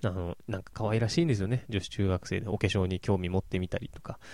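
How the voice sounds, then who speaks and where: A man at a fairly low pitch, an ordinary speaking voice, a fairly quick pace, and a very clean recording with a silent background. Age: 30s. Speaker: podcast host reviewing anime and films. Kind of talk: casual solo monologue. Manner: relaxed, with many fillers.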